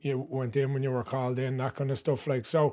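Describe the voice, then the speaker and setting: Fairly high in pitch, a man with a Dublin accent talks at a fairly quick pace in a very clean recording with a silent background. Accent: Dublin-sounding Irish. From Ireland, Ashbourne, County Meath. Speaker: comedian, content creator. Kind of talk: casual interview chat.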